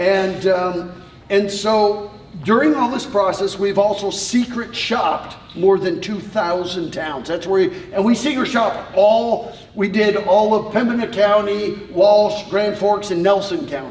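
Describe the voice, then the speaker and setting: The voice is loud and comes at a fairly slow pace. Background noise is noticeable, and room echo is audible. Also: man, high pitch for a man, ordinary pitch variation. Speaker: tourism consultant. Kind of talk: informal presentation to a group.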